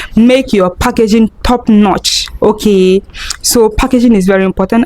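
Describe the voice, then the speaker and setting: Noticeable background noise sits behind a woman speaking at a moderate pace in a fairly high voice with ordinary pitch variation. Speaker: food business vlogger. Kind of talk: tutorial. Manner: soft-spoken.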